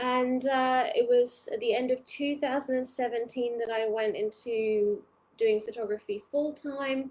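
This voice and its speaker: A speaker with a British accent talks at a fairly slow pace. The pitch rises and falls in an ordinary way. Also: woman, high pitch for a woman. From UK. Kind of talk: live training webinar. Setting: Facebook live stream. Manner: casual, hesitant with many fillers.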